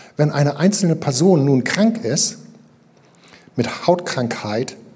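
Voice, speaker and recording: A man speaks at a fairly slow pace. Noticeable background noise is audible. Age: 50s. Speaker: pastor. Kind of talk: sermon. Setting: church.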